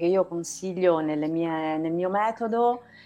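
An unremarkable speaking voice, its pitch varying in an ordinary way. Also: woman. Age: 50s. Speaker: naturopath. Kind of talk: casual chat. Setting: live stream.

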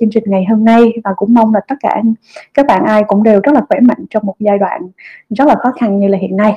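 Music plays in the background as a woman with a fairly high pitch speaks fairly quickly, the sound dry and close with no echo. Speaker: company executive and startup founder. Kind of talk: online fireside chat talk.

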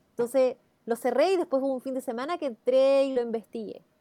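Recorded very cleanly against a silent background, with a dry, close sound and no echo, a woman speaks at a fairly quick pace in a high voice with a dark, mellow tone and ordinary pitch variation. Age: 40s. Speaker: journalist and teacher. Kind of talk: radio interview.

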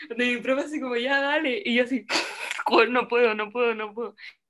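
This speaker talks with a Chilean accent at a fairly quick pace. Pitch variation is ordinary. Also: woman. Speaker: podcast co-host, theatre student. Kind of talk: casual chat.

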